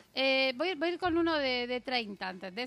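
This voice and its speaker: A woman with an Argentine accent speaks at a moderate pace in a raised, projected voice, her high pitch, bright, sharp tone and ordinary pitch variation all clear. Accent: Rioplatense Argentine Spanish. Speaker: radio show host. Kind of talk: casual chat. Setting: radio studio. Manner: animated.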